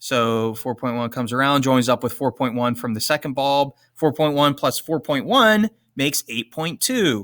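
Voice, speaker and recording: At a moderate pace with ordinary pitch variation, a plain, everyday voice comes through dry and close with no echo on a very clean recording with a silent background. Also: man, medium pitch for a man. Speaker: teacher. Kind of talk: tutorial.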